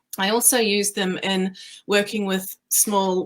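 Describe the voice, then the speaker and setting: A woman with a New Zealand accent speaks at a fairly slow pace in a medium pitch. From New Zealand, rural. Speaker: creative business owner and speaker. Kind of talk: casual interview chat.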